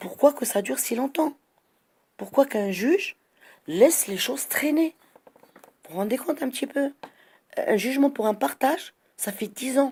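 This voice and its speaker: A woman with a high pitch and lively intonation, at a fairly slow pace. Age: 60s. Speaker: citizen vlogger. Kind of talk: monologue complaint. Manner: animated; halting.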